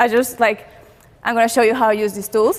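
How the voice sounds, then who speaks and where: A woman with a Spanish accent and fairly high pitch, talking at a very fast pace over noticeable background noise. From Peru. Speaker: content creator. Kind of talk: talk to audience.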